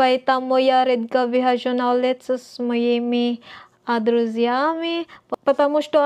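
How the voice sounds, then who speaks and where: Behind this woman, the background is quiet. She keeps to a fairly slow pace. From Philippines. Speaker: vlogger and student; vlogger. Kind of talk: casual vlog monologue. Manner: halting, non-fluent. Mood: friendly, smiling. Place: home room. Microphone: webcam.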